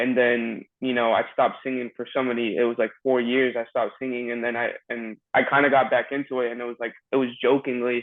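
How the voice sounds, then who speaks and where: A man at a medium pitch, fairly quick pace and hardly any pauses, with monotone, flat intonation. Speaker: singer-songwriter. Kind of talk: casual interview chat. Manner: casual, filler-heavy.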